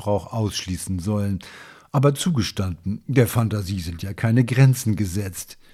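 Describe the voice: The pitch rises and falls in an ordinary way. The delivery is plain reading aloud.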